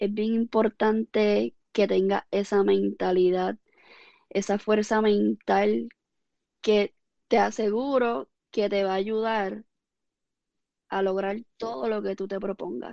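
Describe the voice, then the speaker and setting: A woman speaks very slowly, leaving long, frequent pauses, at a medium pitch with ordinary pitch variation and a dark, mellow tone. The background is quiet, and the sound is dry and close with no echo. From Puerto Rico, Ponce area. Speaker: fitness coach and former athlete. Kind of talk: interview.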